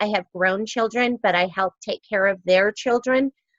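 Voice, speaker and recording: In a dry, close sound with no echo, a woman with an ordinary speaking voice talks at a moderate pace, medium pitch and ordinary pitch variation. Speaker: network marketing team leader. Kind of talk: training webinar presentation. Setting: online video meeting, recorded.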